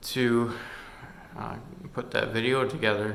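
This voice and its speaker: Mumbling at a fairly slow pace, a man speaks with fairly even intonation over light background noise. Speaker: hobbyist vlogger. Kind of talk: casual screen-recording vlog. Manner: hesitant with many fillers. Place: home room. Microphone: phone near.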